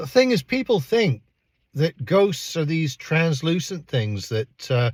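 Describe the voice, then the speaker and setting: A somewhat breathy man's voice with very wide pitch swings, dry and close with no echo, in a very clean recording with a silent background. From Canada. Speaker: astrology and paranormal youtuber. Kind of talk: personal storytelling. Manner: casual, conversational with fillers.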